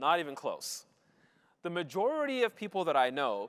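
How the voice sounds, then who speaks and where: Lively intonation marks this man's speech at a moderate pace. The sound is dry and close, with no echo. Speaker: mathematician giving a talk to students. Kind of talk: lecture. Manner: loud; frequent filler um.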